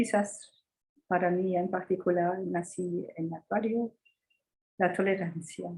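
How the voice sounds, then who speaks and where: A very slow, monotone voice with a dark, mellow tone, somewhat breathy, with long, frequent pauses. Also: woman, medium pitch for a woman. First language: not Spanish (speaking Spanish). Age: 80s+. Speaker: astrologer. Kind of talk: interview. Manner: halting.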